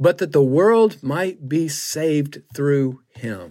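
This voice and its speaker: The recording is very clean, with a silent background. A man with a Southern US accent speaks in a fairly high voice. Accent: Southern US (Georgia). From US South, Griffin, Georgia. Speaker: pastor. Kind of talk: testimony. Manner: halting, many fillers.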